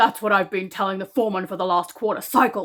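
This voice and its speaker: A woman puts on a gruff, growling character voice at a medium pitch, rattling along at a very fast pace with fairly even intonation. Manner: irritated, grumbling.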